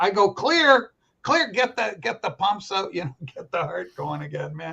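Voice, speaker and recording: There are big swings in the loudness of this man's voice. He keeps to a moderate pace. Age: 60s. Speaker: show host. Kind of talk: casual chat.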